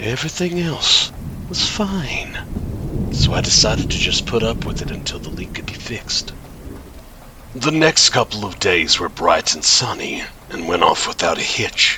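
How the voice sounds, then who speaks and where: The pace is fairly slow. Noticeable background noise can be heard. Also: man. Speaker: horror narrator. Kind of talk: horror story narration (creepypasta), read in first person.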